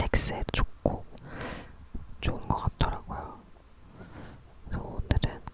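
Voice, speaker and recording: Whispering at a fairly slow pace, over noticeable background noise. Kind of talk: ASMR whispered talk. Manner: whispered, soft-spoken.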